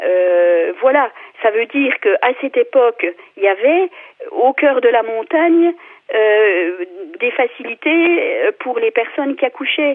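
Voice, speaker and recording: Very slowly and with long, frequent pauses, a woman with a high voice speaks in a passionate tone, her pitch swinging very widely. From France, Vosges. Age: 50s. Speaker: local elected official. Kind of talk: radio debate. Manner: passionate, hesitant with many fillers.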